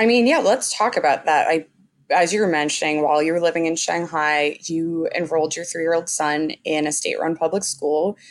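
Here is a woman with a plain, everyday voice and a fairly low pitch. Her pace is fairly quick, with ordinary pitch variation. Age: 20s. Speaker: podcast host. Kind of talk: interview.

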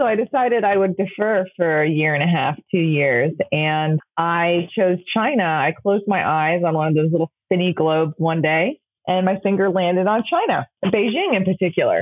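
A woman with a fairly low voice speaks at a moderate pace, hardly pausing. Her tone is upbeat, with ordinary pitch variation and very even loudness. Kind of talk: interview.

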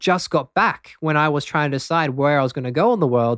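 A man talks with an Australian accent. The recording is very clean with a silent background, and the sound is dry and close with no echo. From Australia, Brisbane. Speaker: breathwork teacher. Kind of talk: interview; guided breathing exercise.

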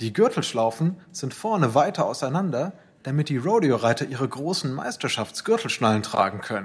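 With very wide pitch swings, a man speaks somewhat breathily at a moderate pace in a fairly high pitch. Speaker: narrator. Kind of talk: dramatic narration, scripted storytelling with voiced dialogue. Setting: studio. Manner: vivid, suspenseful, steady storyteller pacing.

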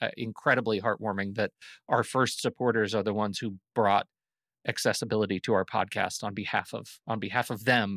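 Dry and close with no echo, an ordinary speaking voice comes from a man at a medium pitch and a fairly quick pace. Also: very clean recording, silent background. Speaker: podcast host. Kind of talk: casual chat.

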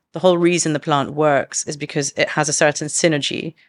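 A woman with a London accent talks at a fairly quick pace in a very deep, low pitch with monotone, flat intonation. The recording is very clean and dry, close with no echo, against a silent background. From London, England. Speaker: herbalist and business co-founder. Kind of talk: casual interview chat.

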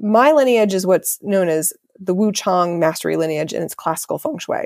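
This woman has an unremarkable speaking voice with an American accent, pitched in the middle of her range, at a moderate pace. The recording is very clean with a silent background and a dry, close sound with no echo. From Ohio, US Midwest. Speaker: feng shui consultant. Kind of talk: interview.

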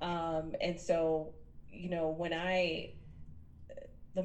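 The delivery is monotone, with flat intonation. Echo from the room is audible. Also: woman. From New York City (Queens). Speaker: business coach. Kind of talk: interview conversation.

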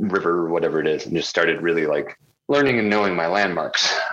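A man with an American accent, at a very fast pace. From US. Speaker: ultra runner. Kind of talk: casual chat.

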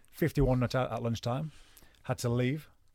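In a very clean recording with a silent background, a man with a Cumbrian accent talks at a moderate pace, his medium pitch moving with ordinary variation. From northern England, Cumbria (Penrith). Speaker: retired cricketer. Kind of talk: casual chat. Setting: studio. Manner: animated.

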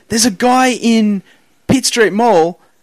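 Speaking with an Australian accent, a man has a high pitch. He talks at a moderate pace with ordinary pitch variation. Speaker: comedian and podcast host. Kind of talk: casual chat. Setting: studio.

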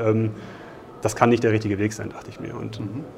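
A man's very fast speech comes through noticeable background noise and audible room echo. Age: 30s. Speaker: engineer in cost controlling. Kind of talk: interview. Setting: conference.

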